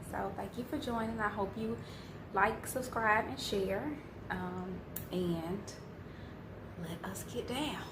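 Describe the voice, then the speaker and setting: A woman with an American accent at a very slow pace, with long, frequent pauses and noticeable background noise. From Chicago area, US. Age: 30s. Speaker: mukbang / ASMR food YouTuber. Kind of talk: casual talk to camera.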